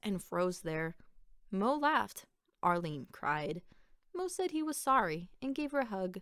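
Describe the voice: The recording is plain reading aloud. Words are read straight from a text.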